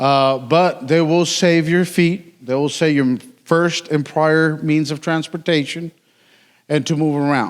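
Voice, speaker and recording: A man with a Mexican accent talks at a fairly slow pace, his fairly high pitch held in fairly even intonation. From Mexico. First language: Spanish. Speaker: city utilities worker. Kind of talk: conference talk. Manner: casual, joking.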